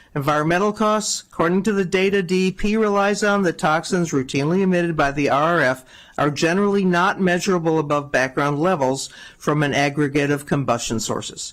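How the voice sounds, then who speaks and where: This man's voice sits high for a man, with ordinary pitch variation. He talks at a fairly quick pace and keeps his loudness very even. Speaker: public hearing speaker, environmental advocate. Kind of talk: public testimony.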